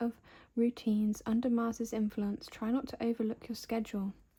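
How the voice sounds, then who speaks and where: Soft-spoken and relaxed, a woman with a British accent has a dark, mellow tone and a fairly high pitch. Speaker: ASMR creator. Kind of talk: ASMR magazine flip-through narration. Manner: soft-spoken, relaxed.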